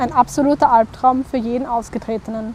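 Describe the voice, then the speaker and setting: Someone speaks at a fairly quick pace with fairly even intonation over noticeable background noise. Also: woman. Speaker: narrator. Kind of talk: educational explainer narration.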